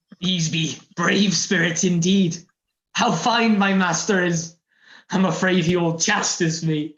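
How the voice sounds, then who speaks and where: A put-on character voice at a middle pitch and fairly slow pace, with a slight echo. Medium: stage play. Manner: fearful, earnest.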